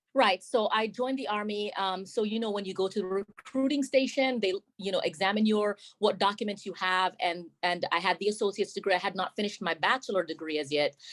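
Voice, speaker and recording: A woman speaks at a very fast pace with a Jamaican accent. Her medium-pitched voice has ordinary pitch variation and a dry, close sound with no echo. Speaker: army sergeant major. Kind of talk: interview.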